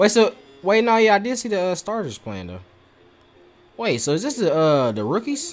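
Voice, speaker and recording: A man with a high pitch talks at a moderate pace, his voice making very wide pitch swings, with long, frequent pauses. Faint music plays in the background. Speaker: YouTube reaction streamer. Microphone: studio mic.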